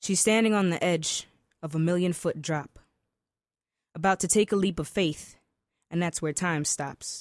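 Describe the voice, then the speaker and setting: Fairly low female voice at a moderate pace, fairly even intonation, long, frequent pauses, and a very clean recording with a silent background. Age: young. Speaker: spoken word poet. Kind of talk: spoken word poetry performance; interview. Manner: articulate.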